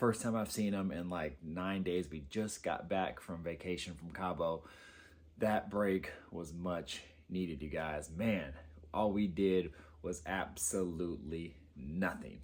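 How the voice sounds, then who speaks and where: A man's very deep, low voice at a fairly slow pace, with ordinary pitch variation. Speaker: car enthusiast vlogger. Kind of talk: casual vlog update. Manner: speaking softly; hesitant, many fillers.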